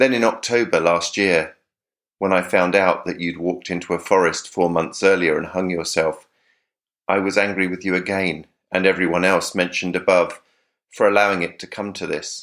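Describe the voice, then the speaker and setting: A man with a southern English accent, very deep, low pitch, monotone, flat intonation and moderate pace, in a very clean recording with a silent background. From South of England. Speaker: letter writer, podcast contributor. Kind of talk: reading aloud a personal letter.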